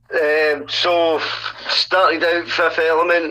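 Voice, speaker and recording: Speaking with a Scottish accent at a fairly high pitch, a man is heard over noticeable background noise. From Scotland, Dumbarton near Glasgow. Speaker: hip hop artist. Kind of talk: casual interview. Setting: call with guest.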